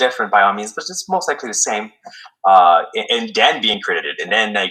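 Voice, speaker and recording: A man speaks with a Quebec accent. His pace is very fast. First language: French. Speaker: military veteran and former police officer. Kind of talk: podcast interview. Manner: halting, many fillers.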